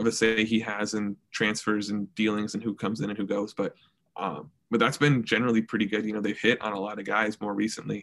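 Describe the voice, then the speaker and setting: The words come at a very fast pace in a monotone, flat intonation. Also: man. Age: young. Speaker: student journalist. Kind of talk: casual chat.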